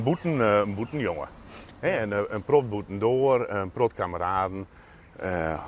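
There is noticeable background noise as a man talks in a Frisian accent. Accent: Frisian-accented Dutch. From Friesland, Netherlands. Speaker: local politician. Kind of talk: casual interview. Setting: outdoors. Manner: halting.

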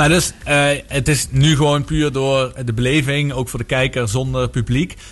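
This man speaks at a moderate pace with a medium pitch. He has fairly even intonation and an unremarkable speaking voice. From Netherlands, Maastricht (Limburg). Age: 40s. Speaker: radio sports show host. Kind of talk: casual sports talk radio. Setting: radio studio.

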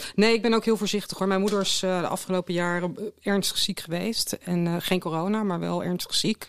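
Her pitch is fairly low and her intonation fairly even as this woman speaks at a fairly quick pace. The recording is very clean, with a silent background. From Netherlands, Delft. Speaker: concert project coordinator. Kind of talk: casual interview chat. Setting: studio. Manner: halting, repeats words.

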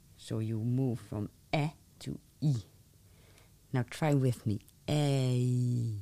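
A woman with a Dutch accent, very deep and low in pitch, with a dark, mellow tone, fairly even intonation, a very slow pace, and long, frequent pauses. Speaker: language teacher, podcast host. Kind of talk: pronunciation lesson. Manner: slow, deliberate articulation.

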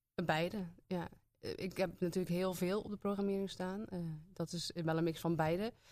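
A woman talks at a moderate pace with medium pitch. Her intonation is monotone and flat. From Zeeland, Zeeuws-Vlaanderen (Hulst). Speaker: theatre programmer. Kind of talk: casual interview. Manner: hesitant, many fillers.

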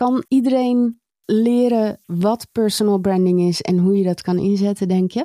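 A woman's medium-pitched voice with a dark, mellow tone, ordinary pitch variation, very even loudness and a fairly slow pace, in a dry, close sound with no echo. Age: 40s. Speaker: podcast host. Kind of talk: podcast interview.

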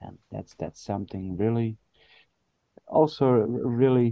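In a Dutch accent, a man speaks at a very slow pace and medium pitch. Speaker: podcast co-host. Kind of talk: casual chat. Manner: halting.

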